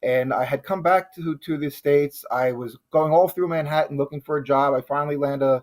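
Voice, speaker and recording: A man with an American accent at a fairly quick pace, hardly any pauses, fairly even intonation, and a dry, close sound with no echo. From New Jersey, Union County. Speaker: chef and 9/11 survivor. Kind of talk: TV interview. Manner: halting, many fillers.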